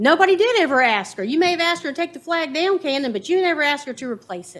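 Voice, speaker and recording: With a Virginia accent, a woman talks very fast at a high pitch, her pitch swinging very widely. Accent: Southern US (Virginia). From US South, Farmville, Virginia. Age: 50s. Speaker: resident giving public comment. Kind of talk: public comment at county board meeting.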